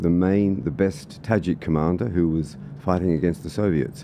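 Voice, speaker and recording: An Australian accent at a moderate pace with ordinary pitch variation. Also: man. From Australia (Sydney and country Victoria). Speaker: political candidate and former soldier. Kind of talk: podcast interview.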